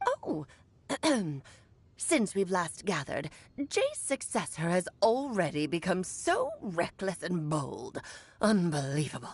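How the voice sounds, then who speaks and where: A female-sounding voice does a put-on character voice at a medium pitch. The pace is fairly slow, with long, frequent pauses. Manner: disdainful, scolding.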